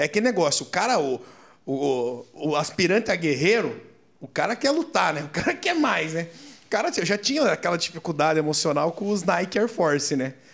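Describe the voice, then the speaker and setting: A high-pitched man talks at a moderate pace. His intonation is lively. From Curitiba, southern Brazil. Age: 30s. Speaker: restaurant franchise owner. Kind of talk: casual interview.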